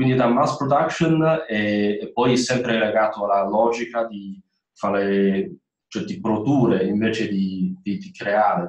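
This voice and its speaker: With a Chinese accent, a man speaks very slowly with medium pitch and ordinary pitch variation, against a quiet background with audible room echo. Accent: Chinese-accented Italian. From China. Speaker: former student, industrial designer; panelist. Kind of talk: webinar talk. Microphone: video call.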